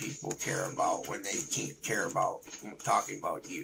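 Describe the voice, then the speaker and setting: Noticeable background noise under a man talking at a moderate pace. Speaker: gaming streamer and beatboxer. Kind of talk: live gameplay stream chat. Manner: repetitive stammering.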